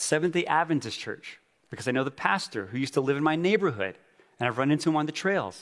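This man has a plain, everyday voice with fairly high pitch and an American accent. His intonation is lively. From Navajo reservation, Arizona (Tuba City area). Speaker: church planter. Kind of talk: conference talk. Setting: stage with audience.

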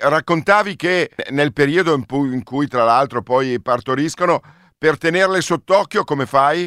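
This very clean recording has a silent background. A man talks fairly slowly in a fairly high, bright, sharp voice with ordinary pitch variation. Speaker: radio host. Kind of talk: radio travel show.

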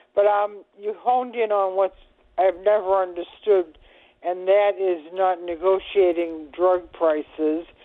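In an unremarkable speaking voice, a woman of medium pitch talks at a fairly slow pace with fairly even intonation. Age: 60s. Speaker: radio caller, retiree. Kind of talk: call-in question. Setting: phone call.

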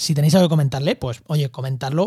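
Somewhat breathy yet dark and mellow in tone, a man with a fairly high pitch speaks at a very fast pace with fairly even intonation. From Spain, La Mancha (Albacete). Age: 30s. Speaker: podcast host, ecologist. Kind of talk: casual interview.

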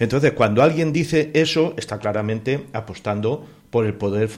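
A man uses a plain, everyday voice at a medium pitch with ordinary pitch variation. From Spain, rural Cuenca (Castilla-La Mancha). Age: 60s. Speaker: neighbourhood association spokesman. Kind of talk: radio panel discussion.

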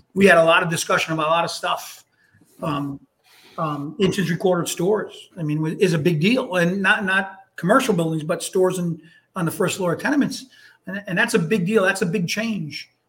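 A fairly quick delivery in an American accent. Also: man. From Hartford, Connecticut. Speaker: retired firefighter. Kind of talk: casual chat.

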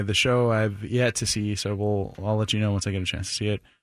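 A man with an unremarkable speaking voice and a fairly low pitch keeps his intonation fairly even, on a very clean recording with a silent background. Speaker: radio co-host. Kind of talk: radio DJ patter, casual joking banter. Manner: chatty.

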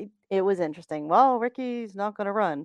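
A woman with an unremarkable speaking voice, medium pitch and ordinary pitch variation, at a fairly quick pace, in dry, close sound with no echo. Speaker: co-host. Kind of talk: casual chat.

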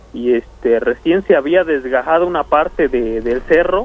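Lively intonation shapes a man's speech, with noticeable background noise behind it. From Mexico, Nochixtlán, Oaxaca. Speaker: caller telling a paranormal story. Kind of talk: storytelling on a phone call. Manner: hesitant, many fillers.

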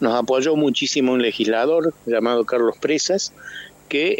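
Ordinary pitch variation in a dry, close sound with no echo, under noticeable background noise. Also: man. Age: 70s. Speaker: architect and car club member. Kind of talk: radio interview.

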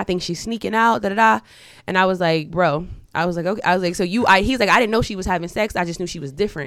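With lively intonation, a woman's speech races along at a very fast pace. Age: 30s. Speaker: podcast co-host. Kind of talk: casual chat.

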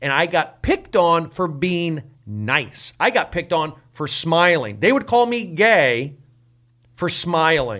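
In a very clean recording with a silent background, a man with an American accent speaks very slowly in a high, bright, sharp voice with very wide pitch swings. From US, Los Angeles (San Fernando Valley). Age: 40s. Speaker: comedian. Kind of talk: casual chat.

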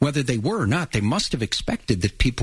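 The recording is very clean, with a silent background. The voice is somewhat breathy, with lively intonation. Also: man. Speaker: radio host. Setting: studio.

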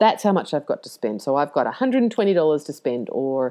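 With an Australian accent, a woman talks at a very fast pace in a very deep, low voice that makes very wide pitch swings. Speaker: yoga teacher and business coach. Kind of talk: casual podcast monologue. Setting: home recording, main road by the ocean. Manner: chatty, laughs often.

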